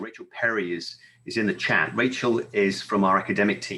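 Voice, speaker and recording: The voice has a bright, sharp tone and ordinary pitch variation, spoken with a British accent. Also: man. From United Kingdom. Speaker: library services vendor representative. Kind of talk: conference presentation.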